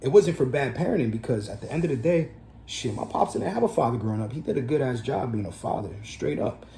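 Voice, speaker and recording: A man with a New Jersey accent talks at a fairly quick pace, his pitch swinging very widely. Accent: New Jersey American English. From New Jersey, USA. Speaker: entrepreneur, record label owner. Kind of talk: casual talk to camera.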